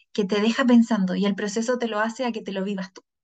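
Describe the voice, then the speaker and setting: Speaking at a fairly quick pace, a woman with a Chilean accent has a fairly high pitch. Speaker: podcast host and psychologist. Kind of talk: casual chat.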